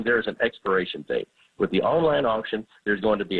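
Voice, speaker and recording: A man talks at a medium pitch with ordinary pitch variation and an unremarkable speaking voice. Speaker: auctioneer. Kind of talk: radio interview answer. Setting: radio studio.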